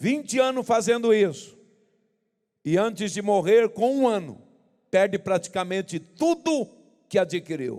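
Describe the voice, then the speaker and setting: His voice high-pitched yet dark and mellow in tone, a man speaks with lively intonation. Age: 70s. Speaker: pastor. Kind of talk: sermon.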